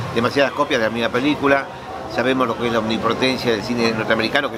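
A man at a very fast pace amid crowd noise in the background. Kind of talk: interview answer. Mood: thoughtful, earnest.

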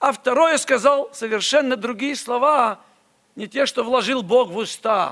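Over a quiet background, a man with an extremely high pitch and a bright, sharp tone talks at a fairly slow pace with ordinary pitch variation. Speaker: preacher. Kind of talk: sermon. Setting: church. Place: church. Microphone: podium.

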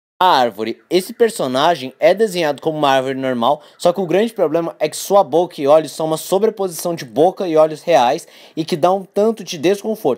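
Lively intonation and a fairly quick pace with hardly any pauses come through in a very clean recording with a silent background. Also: man, high pitch for a man. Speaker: YouTuber. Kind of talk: scripted narration.

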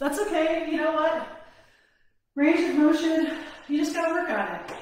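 A woman speaks with strong room echo around her voice. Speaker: fitness instructor. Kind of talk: workout instruction. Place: home room.

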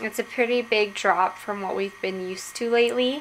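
A woman speaks at a moderate tempo, her pitch moving in a normal way, with faint noise behind her. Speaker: vlogger. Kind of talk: casual vlog chat. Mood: cheerful, relaxed. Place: home room. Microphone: phone near.

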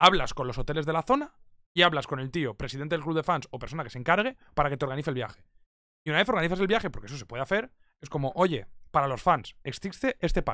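Very fast and with lively intonation, a man talks at a fairly high pitch in a bright, sharp tone, his loudness swinging widely. The sound is dry with no echo, and the background is quiet. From Spain. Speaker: esports commentator. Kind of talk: casual chat. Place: home room. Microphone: studio mic.

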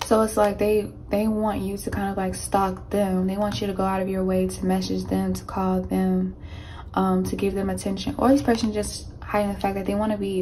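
Over light background noise, a woman talks at a very fast pace. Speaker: tarot reader. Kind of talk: tarot reading monologue. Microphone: phone near.

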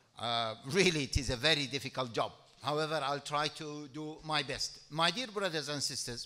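Here a man talks at a moderate pace in a bright, sharp tone. His pitch varies in an ordinary way. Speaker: speaker. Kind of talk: speech. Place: hall. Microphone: podium.

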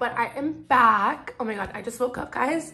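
In a put-on character voice, a woman speaks at a moderate pace with a high pitch, sounding hoarse and raspy. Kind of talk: casual vlog chat.

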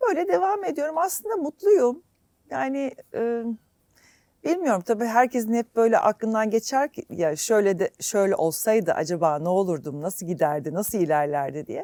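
A woman's fairly high voice with a dark, mellow tone, very wide pitch swings and a moderate pace, in a dry, close sound with no echo. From Istanbul, Turkey (born in Germany). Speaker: singer. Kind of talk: interview.

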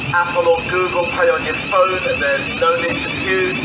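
Loud noise fills the background as a man talks at a moderate speed. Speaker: station announcer. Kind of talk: public address announcement. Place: station. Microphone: pa.

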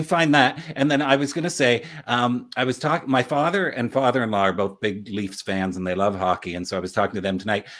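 A man with an unremarkable speaking voice talks at medium pitch and a fairly quick pace, with lively intonation and hardly any pauses. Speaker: podcast co-host. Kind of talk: interviewer questions. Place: home room.

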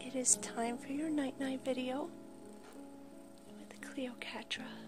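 Noticeable background noise accompanies speech broken by long, frequent pauses. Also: woman. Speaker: pet owner and animal channel host. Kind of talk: ASMR sleep guidance with soft talking. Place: home room. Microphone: phone near.

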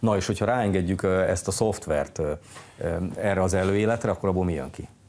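Very deep, low male speech moving at a fairly quick clip. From Hungary. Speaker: sports TV host. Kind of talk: TV interview. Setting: studio. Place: studio. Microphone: lapel.

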